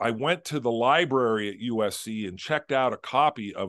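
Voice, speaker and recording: The voice has an American accent and lively intonation. The background is quiet. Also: man. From Southern California. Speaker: author. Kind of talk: interview. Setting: video call. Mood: animated storytelling. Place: home room. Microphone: video call.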